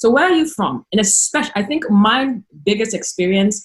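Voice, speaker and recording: This woman's voice is somewhat breathy. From Ghana. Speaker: international student. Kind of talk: panel discussion.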